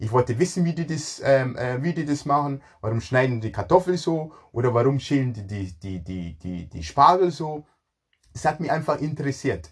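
A somewhat breathy man's voice, fairly high for a man, with lively intonation, big swings in loudness and a moderate pace. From Ghana. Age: 40s. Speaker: chef. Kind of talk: personal life story monologue. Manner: halting, repeats words.

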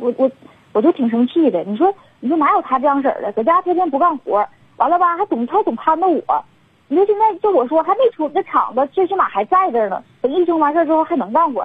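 A woman's extremely high voice, very fast, with very wide pitch swings. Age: 40s. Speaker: radio call-in listener seeking advice. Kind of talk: call-in confession to a radio host. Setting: phone call.

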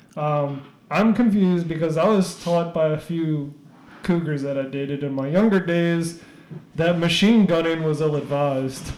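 Audible room echo surrounds a voice at a moderate pace with ordinary pitch variation. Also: man, fairly high pitch for a man. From New Orleans. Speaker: podcast host. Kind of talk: casual chat / interview.

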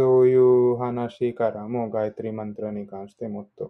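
A man speaks at a moderate pace, his medium-pitched voice keeping a fairly even intonation. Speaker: study group participant. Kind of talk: explanation in group discussion. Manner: halting.

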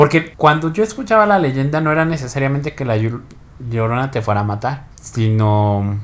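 A man with a normal speaking voice talks at a moderate pace and a medium pitch, his intonation lively and his speech hardly pausing. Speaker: podcast co-host. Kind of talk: casual chat.

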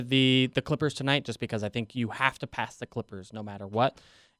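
Recorded dry and close with no echo, a man talks at a fairly quick pace with ordinary pitch variation. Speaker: sports radio host and beat writer. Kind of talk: casual sports talk radio. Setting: radio studio.

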